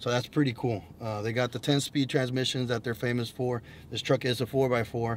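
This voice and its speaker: The man talks fairly quickly, and light noise can be heard behind him. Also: dry sound with no echo. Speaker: automotive vlogger. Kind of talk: casual vlog chat. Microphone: camera far.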